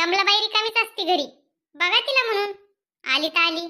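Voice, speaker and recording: Doing a cartoonish character voice, a woman sounds squeaky at an extremely high pitch, keeping ordinary pitch variation, very even loudness and a moderate pace. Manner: polite, respectful.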